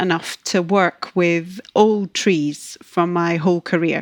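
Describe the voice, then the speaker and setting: A woman with a Scottish accent speaks at a medium pitch and fairly slow pace, with fairly even intonation. The sound is dry and close with no echo, over a quiet background. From Scotland. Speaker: ecologist. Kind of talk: podcast interview.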